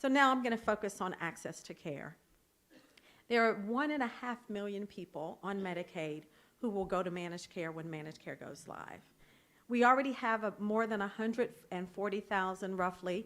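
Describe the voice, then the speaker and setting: A woman's medium-pitched voice with an American accent, ordinary pitch variation and big swings in loudness. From North Carolina. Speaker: state health department official. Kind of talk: policy presentation to legislators. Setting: conference talk with timing lights. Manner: fast.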